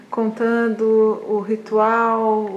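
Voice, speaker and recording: A woman with a Brazilian accent speaks at a fairly high pitch. Noticeable background noise runs behind her. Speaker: interviewer, researcher. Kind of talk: interview. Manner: halting, repeats words.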